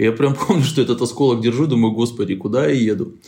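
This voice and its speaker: Lively intonation marks a man's medium-pitched delivery in an unremarkable speaking voice. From Moldova. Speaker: investigative journalist and editor. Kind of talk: interview.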